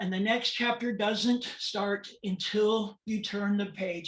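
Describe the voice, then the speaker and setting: At a fairly slow pace, a woman with an American accent talks in a plain, everyday voice with ordinary pitch variation. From California, US. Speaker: transgender awareness speaker. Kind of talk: presentation talk. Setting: webinar.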